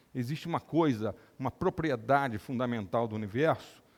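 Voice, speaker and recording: With an unremarkable speaking voice, a man of medium pitch talks at a moderate pace, his intonation lively. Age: 60s. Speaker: neurosurgeon and lecturer. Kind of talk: lecture.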